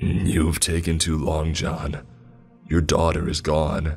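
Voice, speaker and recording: A man puts on a raspy character voice, very deep and low, speaking at a fairly slow pace with monotone, flat intonation. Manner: cold, emotionless.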